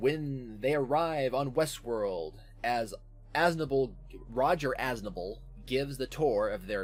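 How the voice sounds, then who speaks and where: A man's voice with ordinary pitch variation, music playing behind it. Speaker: podcast host. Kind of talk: casual chat. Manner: casual, profane.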